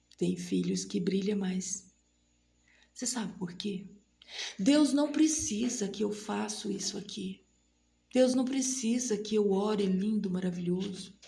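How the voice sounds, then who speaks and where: Words arrive at a very slow rate. Pauses are long and frequent. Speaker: lay preacher at women's prayer meeting. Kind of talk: sermon. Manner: animated.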